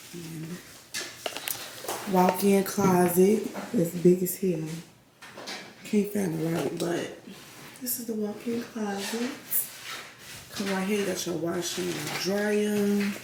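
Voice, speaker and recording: A woman speaks very slowly, with long, frequent pauses and big swings in loudness, at a medium pitch with fairly even intonation. Noticeable background noise and audible room echo are present. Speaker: vlogger. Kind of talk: casual vlog talk. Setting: indoors at a rental apartment.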